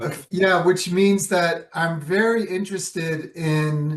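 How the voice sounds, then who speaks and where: With ordinary pitch variation, a man talks very slowly. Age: 70s. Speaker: Alexander Technique teacher. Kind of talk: interview conversation.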